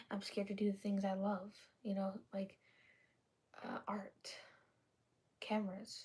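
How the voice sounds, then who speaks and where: A woman with a dark, mellow tone and medium pitch speaks at a fairly slow pace, somewhat breathy, with monotone, flat intonation and long, frequent pauses. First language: not English. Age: 20s. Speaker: vlogger. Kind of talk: casual personal vlog talk. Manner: halting, many fillers and restarts.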